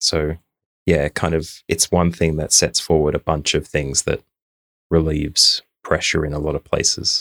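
A man's very deep, low voice in an Australian accent, monotone and flat, at a moderate pace, in a dry, close sound with no echo. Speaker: podcast co-host. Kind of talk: casual chat. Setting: recording in a room at home.

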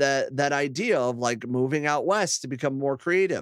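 Over a silent background in a very clean recording, a man with a US Midwestern accent speaks fairly slowly at a fairly high pitch, with ordinary pitch variation. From Ohio, US Midwest (Akron). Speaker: podcast host and former radio host. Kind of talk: casual interview chat.

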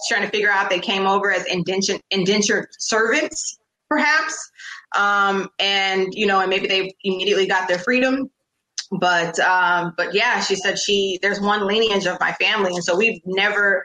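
A woman with an ordinary speaking voice talks at a moderate pace and medium pitch, with ordinary pitch variation and very even loudness. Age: 40s. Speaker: educator, podcast host. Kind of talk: interview.

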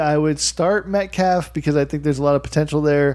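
A man with a fairly high voice and an unremarkable speaking voice, talking at a fairly quick pace. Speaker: podcast host. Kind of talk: casual banter about fantasy football. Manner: profane, jokey.

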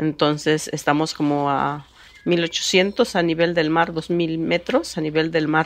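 Noticeable background noise runs behind a woman's voice. Her pitch is fairly low and her intonation fairly even. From Oaxaca, Mexico (Chontal Alta region). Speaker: master mezcal maker. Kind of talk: interview.

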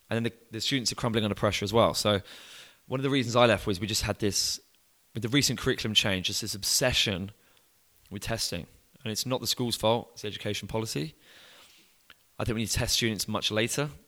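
A man with an English accent speaks at a very fast pace in a bright, sharp tone, his medium pitch moving with ordinary variation and broken by long, frequent pauses. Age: 20s. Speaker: student coach, business founder. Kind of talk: podcast interview. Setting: in person.

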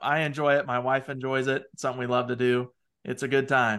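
With a Midwestern American accent, a man talks at a fairly quick pace in a bright, sharp tone with fairly even intonation. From US Midwest, small town. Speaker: part-time CFO for law firms. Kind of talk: podcast interview.

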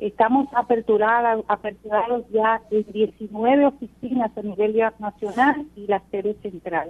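A woman's fairly high, plain, everyday voice at a fairly slow pace, with big swings in loudness. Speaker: police general. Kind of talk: radio interview. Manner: formal.

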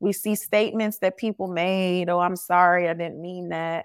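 On a very clean recording with a silent background, a woman with an American accent uses an ordinary speaking voice at a medium pitch and moderate pace. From US South. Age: 40s. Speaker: leadership coach and speaker. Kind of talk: interview.

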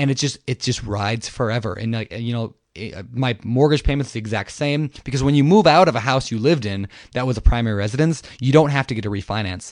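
Over a quiet background, a man at medium pitch talks at a very fast pace with hardly any pauses and ordinary pitch variation. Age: 20s. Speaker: real estate investor and author. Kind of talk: interview.

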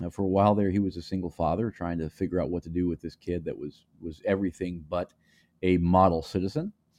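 A man's dark, mellow voice at a very fast pace, recorded dry and close with no echo against a quiet background. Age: 40s. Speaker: podcast host. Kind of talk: solo monologue. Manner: casual, with frequent fillers and repetitions.

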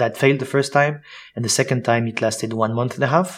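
A man's medium-pitched voice in a French accent, fairly quick in pace, with ordinary pitch variation. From Switzerland and France. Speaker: sales coach and founder. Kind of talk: interview.

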